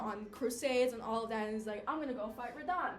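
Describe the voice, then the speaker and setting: Talking fairly quickly, a woman shows ordinary pitch variation while noticeable background noise runs underneath. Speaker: college student. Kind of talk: class speech, casual game lore retelling. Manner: casual, chatty.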